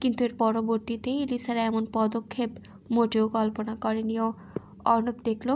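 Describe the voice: Just plain reading aloud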